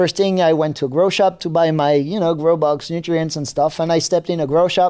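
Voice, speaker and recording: In a French accent, a man speaks in a high voice with a dark, mellow tone at a fairly quick pace with hardly any pauses and fairly even intonation, in a very clean recording with a silent background. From New Caledonia. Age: 30s. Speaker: seed company technical manager. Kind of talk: podcast interview. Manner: halting.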